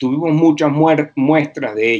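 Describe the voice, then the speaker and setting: A man speaks in a fairly high voice with a Venezuelan accent and ordinary pitch variation. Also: quiet background. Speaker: university professor. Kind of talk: interview.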